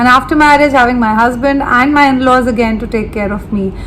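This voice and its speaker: Over noticeable background noise and audible room echo, a woman talks at a fairly quick pace in a high voice. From India, Delhi. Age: 30s. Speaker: beauty and lifestyle vlogger. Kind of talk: casual vlog talk to camera. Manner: chatty, talks at length unplanned.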